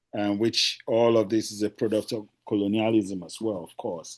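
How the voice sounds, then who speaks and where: In a Nigerian accent, a man speaks fairly slowly at a fairly low pitch, his tone dark and mellow against a quiet background. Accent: Nigerian (Yoruba) English. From Nigeria (Lagos). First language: Yoruba. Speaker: poet. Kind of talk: poetry reading. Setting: video call. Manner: halting, many fillers.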